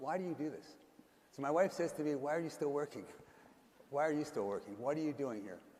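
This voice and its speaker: A man at a fairly high pitch and a very fast pace, with long, frequent pauses, ordinary pitch variation and audible room echo. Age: 70s. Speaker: investor and conference host. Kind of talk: on-stage interview.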